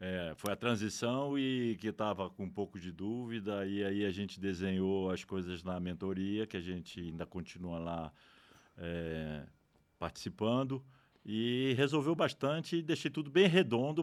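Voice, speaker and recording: A man's fairly low voice with very wide pitch swings at a fairly slow pace, in a very clean recording with a silent background. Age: 60s. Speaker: retired economist, podcast guest. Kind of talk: casual interview.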